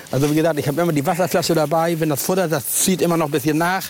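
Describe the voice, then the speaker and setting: A man speaks very fast at a fairly high pitch, with noticeable background noise behind him. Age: old. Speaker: angling expert. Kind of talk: tutorial. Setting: outdoors.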